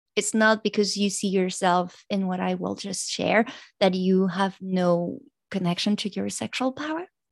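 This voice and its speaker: Speaking in a French accent at a moderate pace with ordinary pitch variation, a woman is heard against a quiet background. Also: medium pitch for a woman. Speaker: pleasure coach and doctor. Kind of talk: interview, podcast conversation. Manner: stressed, halting English.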